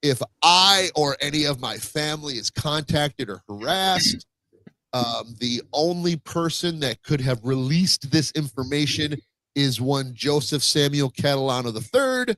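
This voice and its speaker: Here a man talks at a moderate pace with a fairly high pitch and lively intonation. His bright, sharp tone sounds dry and close, with no echo. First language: Spanish. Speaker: podcast host. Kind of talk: casual chat. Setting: home, live stream. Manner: halting.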